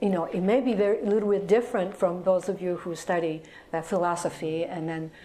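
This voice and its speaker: A woman with a Japanese accent speaks with fairly even intonation over light background noise. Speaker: atomic bomb survivor and hospital employee; guest lecturer. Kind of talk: lecture. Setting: stage with audience. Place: classroom.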